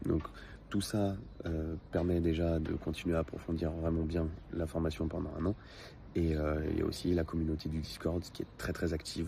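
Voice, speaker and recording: In a very deep, dark and mellow voice, a man speaks somewhat breathily with monotone, flat intonation. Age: 20s. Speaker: customer giving a testimonial. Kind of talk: testimony. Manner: hesitant, many filler sounds.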